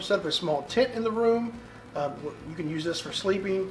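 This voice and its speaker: A man's voice moves along at a fairly quick pace. Noticeable background noise runs underneath. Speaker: survival preparedness youtuber. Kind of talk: informal tutorial talk. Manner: fast; many fillers like um and uh.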